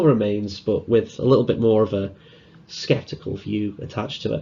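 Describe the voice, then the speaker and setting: A man speaks with a Liverpool accent. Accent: Liverpool (Scouse). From northern England, Liverpool. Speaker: conference speaker, security student. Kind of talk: conference talk. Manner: casual, hesitant fillers.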